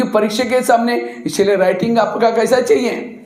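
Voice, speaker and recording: Audible room echo and noticeable background noise surround a man whose voice is high-pitched with ordinary pitch variation. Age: 60s. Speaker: spiritual speaker. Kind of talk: motivational talk to students. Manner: animated, rhetorical questions.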